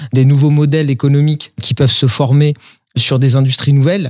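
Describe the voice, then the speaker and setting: The speaker is a man with a fairly high pitch. His voice is somewhat breathy, and his intonation stays fairly even. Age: 40s. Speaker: industrial company CEO. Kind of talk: interview. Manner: halting, repeats words.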